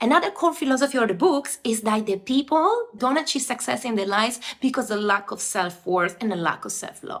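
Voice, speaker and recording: Noticeable background noise sits behind a woman speaking at a moderate pace in an Italian accent. Her pitch is high and her intonation lively. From Italy. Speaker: self-development book reviewer. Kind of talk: book review video. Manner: animated.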